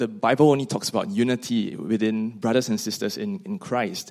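A man with a Singaporean accent speaks at a medium pitch with very wide pitch swings. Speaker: seminary student. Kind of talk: panel conversation.

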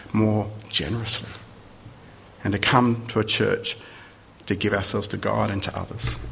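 Amid noticeable background noise and audible room echo, a man speaks in a fairly low voice with monotone, flat intonation at a moderate pace. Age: 50s. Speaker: visiting preacher. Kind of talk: sermon.

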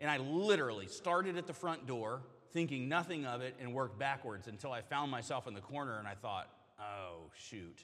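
A man with an ordinary speaking voice and an American accent, medium pitch, lively intonation and a fairly quick pace. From US South. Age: 40s. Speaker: pastor. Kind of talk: sermon. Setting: church.

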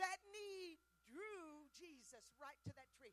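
Here a woman is talking. Her tone is animated. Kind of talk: sermon. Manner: animated, fervent, exhorting the crowd with call-and-response.

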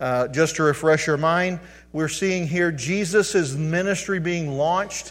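A man speaks in an ordinary speaking voice, fairly high in pitch with ordinary pitch variation. His pace is fairly slow. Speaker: pastor. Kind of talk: sermon. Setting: church.

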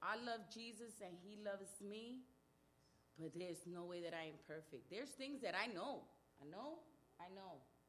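A woman speaks in an animated tone with lively intonation and long, frequent pauses. Audible room echo surrounds her voice. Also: medium pitch for a woman, moderate pace. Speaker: church member giving testimony. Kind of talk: testimony.

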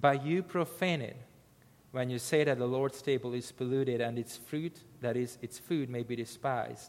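A man speaks with a non-native accent at a moderate pace. His pitch is medium, with ordinary pitch variation. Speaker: missionary preacher. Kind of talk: sermon. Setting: church. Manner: halting.

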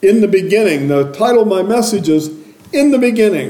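A man's intonation is lively, and noticeable background noise can be heard behind him. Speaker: preacher. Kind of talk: sermon. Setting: church. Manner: loud.

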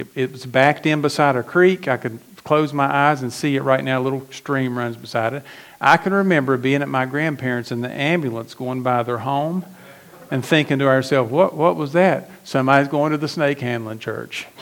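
At a fairly quick pace, a man with an American accent uses an ordinary speaking voice, medium in pitch with ordinary pitch variation. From West Virginia. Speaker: pastor. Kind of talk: sermon.

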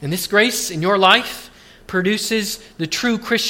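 A natural voice reads text aloud. Its pitch moves in an ordinary way.

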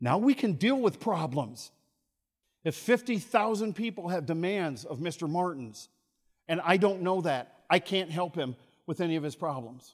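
A man's high-pitched, animated voice at a moderate pace, with very wide pitch swings. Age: 60s. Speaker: university chapel speaker and music professor. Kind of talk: chapel talk to students. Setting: campus assembly with live audience.

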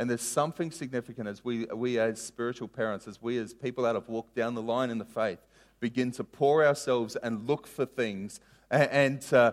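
At a fairly quick pace, a man talks in an unremarkable speaking voice of medium pitch. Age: 30s. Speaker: pastor. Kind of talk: sermon.

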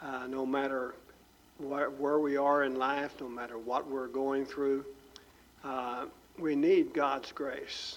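A man speaks at a fairly high pitch with monotone, flat intonation, at a very slow pace with long, frequent pauses. There is audible room echo. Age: old. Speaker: pastor. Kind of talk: sermon.

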